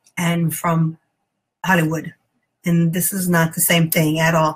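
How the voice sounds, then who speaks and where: With an American accent, a woman speaks in a fairly low, somewhat breathy voice and a monotone, flat intonation. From Texas. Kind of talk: interview testimony. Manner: hesitant, many fillers.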